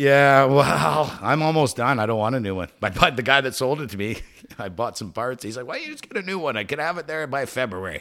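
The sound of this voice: Fairly quick and lively in intonation, a man speaks at a medium pitch. His tone is fairly bright.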